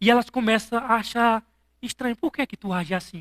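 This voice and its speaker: With a strong northeastern Brazilian accent, the speaker sounds animated and keeps a moderate pace. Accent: thick northeastern Brazilian. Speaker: pastor. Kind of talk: sermon.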